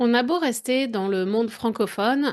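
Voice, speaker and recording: A woman at a very slow pace, with ordinary pitch variation and a quiet background. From France. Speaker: French language coach. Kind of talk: podcast monologue. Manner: conversational, addresses listener directly.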